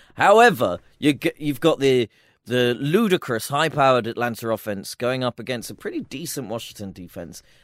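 The background is silent and the recording very clean. A man speaks at a moderate pace. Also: medium pitch for a man, lively intonation, dry, close sound with no echo. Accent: British. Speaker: NFL podcast co-host. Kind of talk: casual sports chat. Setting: studio.

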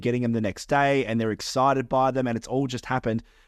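A fairly quick pace carries the speech. It comes with an Australian accent. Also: man. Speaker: podcast co-host and wedding photographer. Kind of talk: casual chat.

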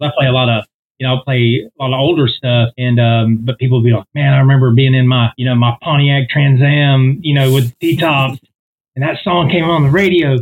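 A man talks fairly quickly, somewhat breathy, keeping his intonation fairly even. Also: medium pitch for a man. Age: 40s. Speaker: singer. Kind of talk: casual chat.

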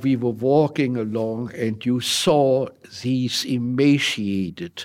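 This man speaks with a German accent at a medium pitch, his pitch varying in an ordinary way. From Germany (Hildesheim). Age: 90s. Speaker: WWII veteran. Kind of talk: interview.

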